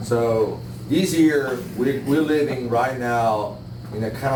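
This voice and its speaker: Very slowly and with fairly even intonation, a man speaks amid noticeable background noise and audible room echo. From Italy, Milan. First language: Italian. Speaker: bonsai master. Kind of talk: live demonstration talk. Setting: room with live audience. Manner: hesitant, many fillers.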